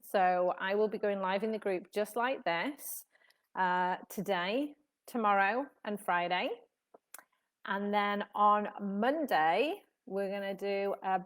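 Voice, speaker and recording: A woman with a British accent speaks very slowly at a medium pitch, using ordinary pitch variation and long, frequent pauses. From UK. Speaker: tennis elbow therapist. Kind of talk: live stream talk to audience. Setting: live video stream, sunshine behind. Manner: casual, many fillers.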